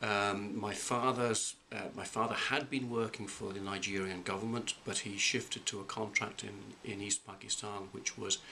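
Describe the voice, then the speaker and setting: Over noticeable background noise, a man with a fairly low pitch speaks at a moderate pace with fairly even intonation and hardly any pauses. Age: 50s. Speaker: college president. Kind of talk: interview. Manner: halting.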